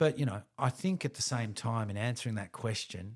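A man with an Australian accent speaks at a moderate pace in a medium pitch, somewhat breathy, with ordinary pitch variation, on a very clean recording with a silent background. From Melbourne, Australia. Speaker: musician and creative director. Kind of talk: interview. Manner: laid back.

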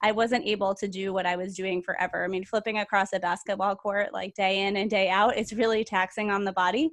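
A woman with an unremarkable speaking voice at medium pitch, talking at a fairly quick pace with fairly even intonation against a quiet background. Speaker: podcast co-host, health coach. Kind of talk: casual chat.

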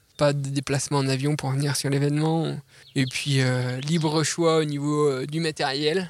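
A man's fairly high-pitched voice, monotone and flat in intonation, at a fairly slow pace. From France, Jura mountains. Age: 30s. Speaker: ultra-trail runner. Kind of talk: casual interview. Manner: hesitant, many repeated words.

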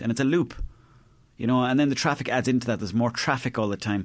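In a very clean recording with a silent background, a man talks at a very fast pace with ordinary pitch variation. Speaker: comedian. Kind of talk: casual chat.

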